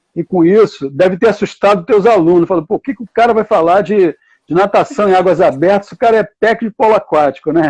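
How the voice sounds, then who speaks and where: A man's very fast speech in a Carioca accent, high in pitch with ordinary pitch variation, dry and close with no echo. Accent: carioca Brazilian Portuguese. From Rio de Janeiro, Brazil. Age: 70s. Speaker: water polo coach and university professor. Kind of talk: live online talk.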